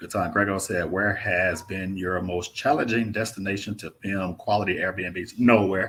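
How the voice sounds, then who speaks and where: A man with a Mississippi accent speaks fairly slowly at a fairly low pitch, his intonation fairly even while his loudness swings a lot. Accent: Mississippi Southern. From Mississippi, US South. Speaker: travel vlogger. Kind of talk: live stream Q&A chat. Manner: casual, laid-back.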